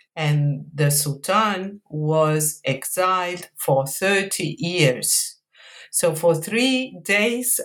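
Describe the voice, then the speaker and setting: A woman with an Italian accent talks at a very slow pace. Her pitch is fairly low, with ordinary pitch variation. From Italy, Mantua. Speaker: history professor, author. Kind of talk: academic interview. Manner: hesitant, many fillers.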